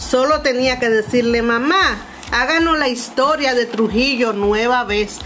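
A woman with a Dominican accent speaks very slowly at a fairly high pitch with ordinary pitch variation over noticeable background noise. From Dominican Republic, Montecristi. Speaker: cultural manager and consultant. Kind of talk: personal storytelling narration.

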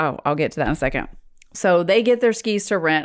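A woman talks at a very fast pace, her pitch varying in an ordinary way. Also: very clean recording, silent background. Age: 40s. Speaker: podcast co-host. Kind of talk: casual chat. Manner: animated.

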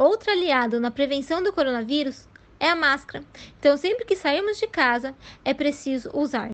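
A woman's high-pitched voice at a moderate pace. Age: 30s. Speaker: biologist. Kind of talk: educational Q&A for children.

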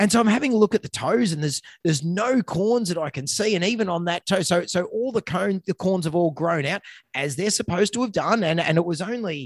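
Fairly quick delivery with lively intonation and a dry, close sound with no echo. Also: man, high pitch for a man. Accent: Australian. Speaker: veterinarian, podcast co-host. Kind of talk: casual chat; reading aloud. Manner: fast.

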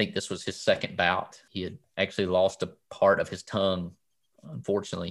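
Fairly quick speech in a Southern US accent, on a very clean recording with a silent background. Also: man. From US South. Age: 40s. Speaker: cancer survivor. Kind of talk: interview. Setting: home basement.

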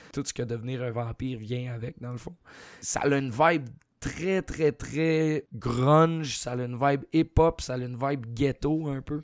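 On a very clean recording with a silent background, a man with a Quebec accent speaks at a fairly slow pace with fairly even intonation. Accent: Québécois French. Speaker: horror film podcast co-host. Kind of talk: casual chat.

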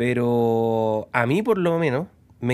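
A man with a Chilean accent speaks with lively intonation on a very clean recording with a silent background. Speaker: mechanic, podcast co-host. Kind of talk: casual chat.

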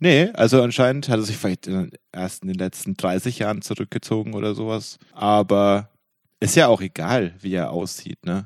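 A man's ordinary speaking voice, fairly low in pitch with ordinary pitch variation, at a moderate pace against a quiet background. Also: dry, close sound with no echo. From Franconia. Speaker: podcast host. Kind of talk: casual chat.

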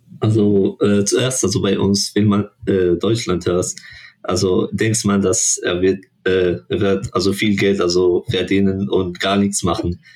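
A man speaks at a very slow pace with fairly even intonation. His loudness stays very even. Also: fairly low pitch for a man. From Morocco. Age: 20s. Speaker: international student. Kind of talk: casual interview. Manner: halting, searching for words.

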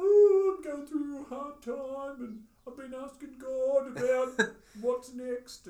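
This is a put-on character voice pitched high. It moves at a fairly slow pace. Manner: mocking, a little exaggerated.

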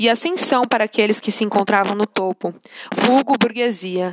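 An unremarkable speaking voice from a woman, fairly high in pitch with ordinary pitch variation, fairly slow, in a dry, close sound with no echo. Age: 20s. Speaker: social work student. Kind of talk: scripted narration. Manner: formal.

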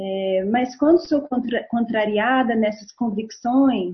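At a very slow pace, a somewhat breathy woman speaks with ordinary pitch variation. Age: 40s. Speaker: guest talking about her zodiac sign. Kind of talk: casual chat. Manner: halting.

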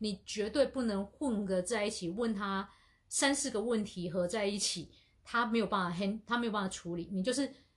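A woman's normal speaking voice, medium in pitch, at a moderate pace with ordinary pitch variation, over a quiet background. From Asia. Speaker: podcast co-host. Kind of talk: casual chat.

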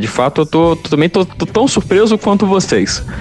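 A high-pitched man at a moderate pace, amid noticeable background noise. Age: young. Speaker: podcast host. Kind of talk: casual chat.

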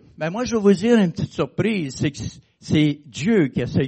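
Very wide pitch swings mark this man's high voice. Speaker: preacher. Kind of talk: sermon. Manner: conversational, hesitant with fillers.

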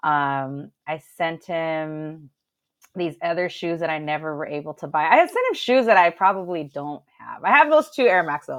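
A woman with a Southern California accent has a very deep, low pitch with ordinary variation. She talks at a moderate pace against a quiet background. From Los Angeles, San Gabriel Valley (Alhambra). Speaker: DJ. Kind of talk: casual chat. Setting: livestream.

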